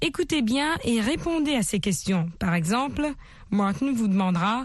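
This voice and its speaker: Against a quiet background, a woman with a fairly high pitch and a somewhat breathy voice makes very wide pitch swings. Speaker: radio English teacher. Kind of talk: language lesson. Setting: radio studio. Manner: formal.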